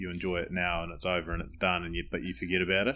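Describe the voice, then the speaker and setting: Over a silent background on a very clean recording, a man with a New Zealand accent and a very deep, low pitch talks at a very fast pace. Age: 30s. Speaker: podcast host. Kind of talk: casual interview; scripted introduction.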